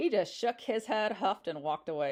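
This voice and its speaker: Against a quiet background, a woman speaks loudly at a moderate pace and a medium pitch. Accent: American. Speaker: podcast host and abortion rights activist. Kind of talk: casual monologue.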